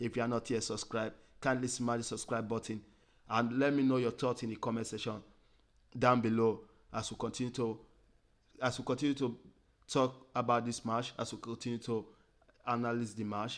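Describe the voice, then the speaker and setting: In a very clean recording with a silent background, a man with an African accent speaks at a medium pitch and a fairly quick pace. His intonation is monotone and flat, with long, frequent pauses. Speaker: football fan channel host. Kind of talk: live stream commentary. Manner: halting, repetitive.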